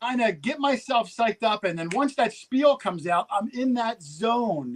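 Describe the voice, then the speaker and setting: A man talks with a New Jersey accent at an extremely high pitch and lively intonation. The sound is dry and close, with no echo. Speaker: metal detecting youtuber. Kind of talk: casual chat. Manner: fast.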